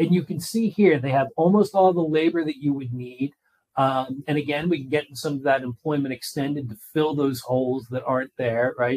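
Man with an American accent and an unremarkable speaking voice, fairly high pitch, ordinary pitch variation, moderate pace, dry, close sound with no echo. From Philadelphia, US. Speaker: economic consultant. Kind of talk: webinar presentation.

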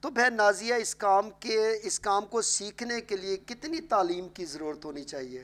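A man's high voice at a fairly slow pace, with very wide pitch swings and big swings in loudness. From Pakistan. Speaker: pastor and TV program host; talk show host, pastor. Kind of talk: religious talk show interview. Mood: warm, earnest. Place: studio.

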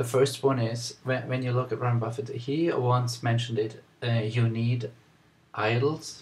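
At a moderate pace, a man speaks in a somewhat breathy voice with fairly even intonation. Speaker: vlogger. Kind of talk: casual vlog chat. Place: home room. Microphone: webcam.

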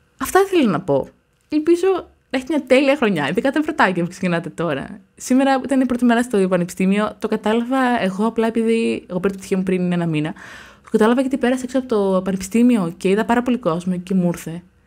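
A woman with a fairly high voice talks at a very fast pace with very wide pitch swings, over a quiet background. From Greece, provincial. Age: 20s. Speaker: YouTuber, university student; YouTuber. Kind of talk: casual vlog monologue. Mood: passionate, animated. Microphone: studio mic.

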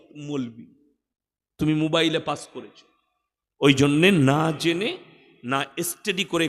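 Here a man talks at a fairly high pitch. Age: 30s. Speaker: Islamic preacher. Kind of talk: sermon. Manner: animated.

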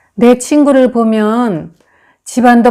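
Over a very clean recording with a silent background, a woman talks at a very slow pace in a dark, mellow tone. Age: 70s. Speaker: poet. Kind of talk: reflective essay talk to camera.

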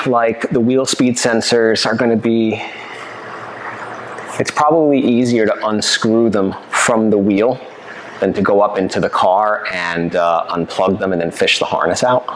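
A man speaks at a fairly slow pace over light background noise. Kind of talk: tutorial. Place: garage.

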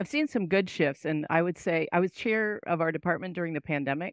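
A woman with a fairly low pitch talks at a fairly quick pace with lively intonation and hardly any pauses, in an unremarkable speaking voice. The sound is dry with no echo, and the background is quiet. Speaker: English professor. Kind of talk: interview discussion. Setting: video call with headset, at home. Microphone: headset.

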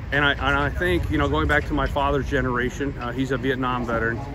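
In an American accent, a man with a fairly low pitch speaks at a very fast pace with very wide pitch swings over noticeable background noise. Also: dry sound with no echo. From US. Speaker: VA health system administrator and army veteran. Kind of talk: interview. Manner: halting. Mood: earnest, measured. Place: street. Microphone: phone near.

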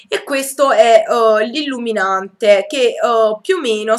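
Over a quiet background, a woman speaks in a high pitch with lively intonation. Her tone is bright and sharp. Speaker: beauty vlogger. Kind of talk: product review haul. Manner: hesitant, many fillers. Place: home room. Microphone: webcam.

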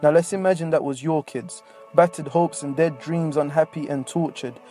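With music in the background, a man speaks at a fairly quick pace in a fairly high pitch, his intonation fairly even. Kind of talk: spoken word poetry.

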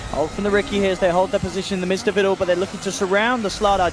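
A man talks at a high pitch while noticeable background noise runs behind him. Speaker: esports commentator. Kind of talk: live commentary. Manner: fast, excitable play-by-play; rapid-fire, narrating action.

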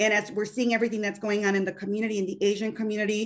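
A woman talks in a fairly high voice with a Chicago accent. The background is quiet. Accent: Chicago American English. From US Midwest. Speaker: bank business consultant; panel expert. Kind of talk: webinar panel discussion. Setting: video call. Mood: earnest, reflective. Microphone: video call.

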